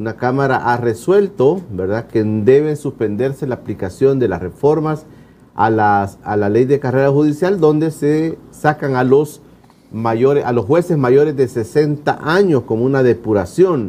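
At a fairly slow pace, a man talks in a dark, mellow tone. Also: medium pitch for a man, lively intonation. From El Salvador. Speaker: TV talk show host. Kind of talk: interview. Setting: studio. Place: studio. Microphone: lapel.

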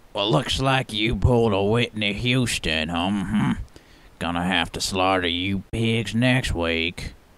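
This is a man doing a cartoonish character voice, pitched fairly low. He talks at a fairly slow pace. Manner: mocking, gleeful.

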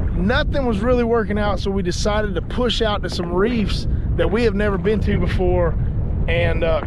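A man talks at a moderate pace. The sound is dry with no echo, though noticeable background noise is present. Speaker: fishing vlogger. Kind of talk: casual vlog chat. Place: boat. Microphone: phone near.

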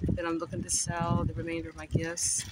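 A man speaks at a moderate pace, the sound dry with no echo despite loud noise behind him. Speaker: home seller of gift baskets. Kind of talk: casual vlog chat. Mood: upbeat, hopeful. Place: garden. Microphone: phone near.

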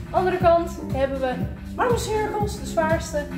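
Clear music plays in the background as a woman talks at a fairly slow pace. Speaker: fitness instructor. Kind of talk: workout class instruction. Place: gym. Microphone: camera far.

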